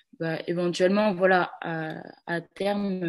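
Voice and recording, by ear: A woman's fairly low-pitched voice with fairly even intonation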